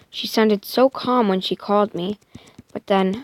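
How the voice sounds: This is a natural reading voice. Its pitch varies an ordinary amount.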